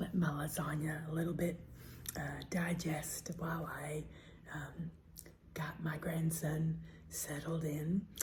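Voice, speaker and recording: A woman with an American accent, a very deep, low pitch and vocal fry, at a very slow pace with monotone, flat intonation and long, frequent pauses. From Southern US. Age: old. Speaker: ASMR eating creator. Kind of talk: casual talk to camera.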